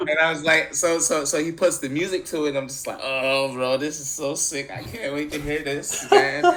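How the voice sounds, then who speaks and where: A man with an American accent speaks at a moderate pace in a fairly high voice. His intonation stays fairly even, and there is noticeable background noise. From Central New York, Syracuse. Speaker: musician. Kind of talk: podcast interview. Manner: casual, many fillers.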